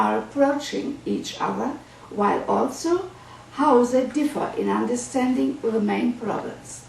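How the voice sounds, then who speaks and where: The speaker, with a German accent, talks at a fairly slow pace amid audible room echo and noticeable background noise. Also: woman. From Germany. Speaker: psychoanalyst. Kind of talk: lecture. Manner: formal.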